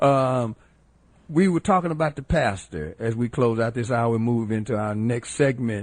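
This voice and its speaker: Against a quiet background, a man with a Southern US accent talks at a moderate pace with lively intonation. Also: medium pitch for a man. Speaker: radio co-host. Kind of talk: casual chat; radio hosting.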